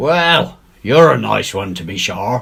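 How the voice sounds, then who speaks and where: A man puts on a drawling character voice at a fairly low pitch. He speaks at a fairly slow pace with very wide pitch swings. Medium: read story. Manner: cool, drawling.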